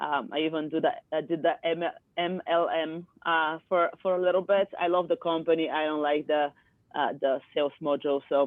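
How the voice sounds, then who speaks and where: A speaker with a Bulgarian accent talks at a moderate pace. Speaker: yoga teacher and coach. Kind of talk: interview chat. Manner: direct, forceful; halting, many fillers.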